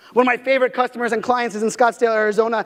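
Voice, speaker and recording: Loud and energetic, a man speaks at an extremely high pitch. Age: 30s. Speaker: keynote speaker on digital marketing. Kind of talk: keynote speech. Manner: fast; loud, energetic.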